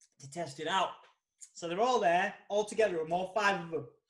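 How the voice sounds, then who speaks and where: A man speaks in a Yorkshire accent with an animated tone. His pace is moderate and his pitch variation ordinary. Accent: Yorkshire British. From Yorkshire, northern England. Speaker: podcast host, magazine editor. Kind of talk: casual chat.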